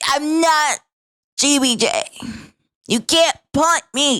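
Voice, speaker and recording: In a put-on character voice, the speaker talks at a very slow pace, nasal and high-pitched. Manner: whiny, defiant.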